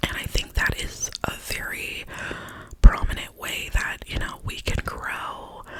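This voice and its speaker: A woman whispers in a gentle tone at a fairly slow pace, her loudness swinging widely. Noticeable background noise sits behind her. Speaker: ASMR creator. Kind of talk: ASMR positive affirmations, whispered personal talk to camera. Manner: whispered, soft, gentle.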